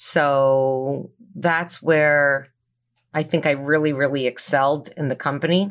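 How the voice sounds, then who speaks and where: A woman speaks very slowly with a very deep, low pitch, a slight Canadian accent and fairly even intonation, on a very clean recording with a silent background. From Toronto, Canada. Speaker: business owner. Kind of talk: interview.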